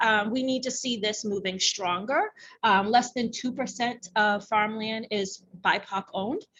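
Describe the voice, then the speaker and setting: A normal speaking voice with fairly even intonation at a moderate pace. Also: woman. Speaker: workshop presenter and racial justice advocate. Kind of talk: workshop presentation. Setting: conference room with audience. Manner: many filler ums.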